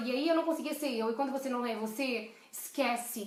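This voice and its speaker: Over audible room echo, a woman speaks in an animated tone with ordinary pitch variation. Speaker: leadership coach. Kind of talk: live stream talk. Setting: live video stream. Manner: fast.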